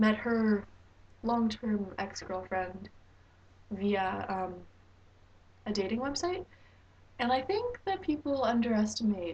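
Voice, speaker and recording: A woman with a Canadian accent speaks with ordinary pitch variation. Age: 19. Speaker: vlogger. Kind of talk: advice vlog. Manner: hesitant with fillers.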